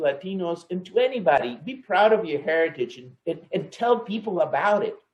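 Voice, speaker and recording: This man's pitch is high, with ordinary variation. He keeps to a moderate pace. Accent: Spanish. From El Salvador. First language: Spanish. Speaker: engineer, client manager. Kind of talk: company talk on heritage. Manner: halting, many repetitions and fillers.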